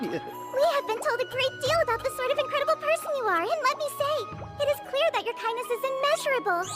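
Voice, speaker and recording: A female-sounding cartoonish character voice at an extremely high pitch rushes along at a very fast pace, with clear music in the background. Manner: polite, formal, warm.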